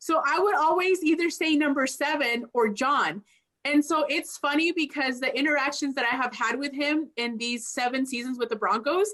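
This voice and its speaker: A high-pitched woman's voice with a slight Spanish accent, moderate pace and ordinary pitch variation. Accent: slight Spanish accent on some words. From Mexico, moved to US as child. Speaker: sports team executive. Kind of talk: panel conversation.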